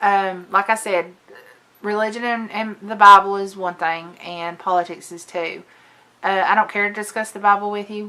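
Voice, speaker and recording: A woman with a Southern US accent speaks at a medium pitch in a bright, sharp tone, her loudness swinging widely while her intonation stays flat and monotone. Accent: southern drawl. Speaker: lifestyle and makeup vlogger. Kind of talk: casual vlog chat. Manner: chatty, hesitant with fillers.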